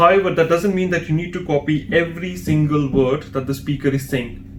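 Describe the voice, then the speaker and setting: Fairly quick speech from a man with a fairly high pitch and ordinary pitch variation, against noticeable background noise. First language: Hindi or another Indian language. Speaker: language exam trainer. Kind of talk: tutorial.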